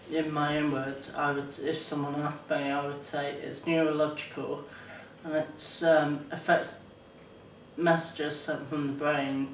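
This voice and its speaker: Speaking fairly slowly, a man holds a fairly high pitch in a monotone, flat intonation. Audible room echo and noticeable background noise surround him. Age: 20s. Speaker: person with ataxia. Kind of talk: interview testimony. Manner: halting.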